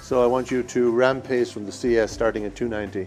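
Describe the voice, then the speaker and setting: A man is speaking. He has an Irish accent. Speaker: cardiac electrophysiologist. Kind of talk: promotional interview.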